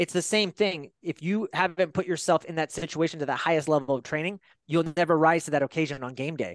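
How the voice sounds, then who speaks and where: A man with an ordinary speaking voice and a General American accent talks at a fairly quick pace and fairly high pitch, the sound dry and close with no echo against a quiet background. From Northern California. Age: 40s. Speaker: holistic health coach, former police officer. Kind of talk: casual interview chat.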